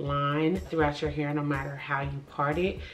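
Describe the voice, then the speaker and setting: A woman talks at a moderate pace with audible room echo and noticeable background noise. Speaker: beauty vlogger. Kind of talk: tutorial. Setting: at home. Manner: soft-spoken; animated.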